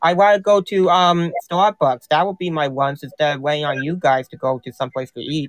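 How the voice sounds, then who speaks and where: A man with an American accent has an ordinary speaking voice, a fairly high pitch and ordinary pitch variation. He talks with hardly any pauses and big swings in loudness. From US Northeast. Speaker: caller. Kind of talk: casual chat. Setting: live stream call-in.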